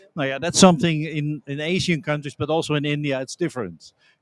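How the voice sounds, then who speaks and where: Speaking at a very fast pace, a man with a fairly high pitch comes through in a dry, close sound with no echo. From Netherlands. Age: 60s. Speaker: trade organization director. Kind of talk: interview. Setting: conference.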